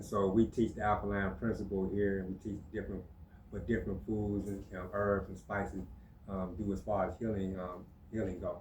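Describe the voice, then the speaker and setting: A man speaks in a monotone with flat intonation, his pitch fairly low and his pace fairly quick. His voice is somewhat breathy, and the room echo is audible. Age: 60s. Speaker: natural healer. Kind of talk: casual chat. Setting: podcast studio.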